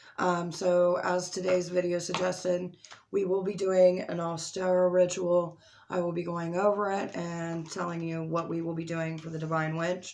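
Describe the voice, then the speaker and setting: In a room with audible echo, a woman speaks at a moderate pace with a fairly low pitch and monotone, flat intonation. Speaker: spiritual content creator. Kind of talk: tutorial. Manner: casual, with filler words.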